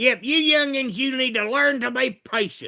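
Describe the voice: In a put-on character voice with a Kentucky accent, a man speaks at an extremely high pitch, raised and projected, at a moderate pace.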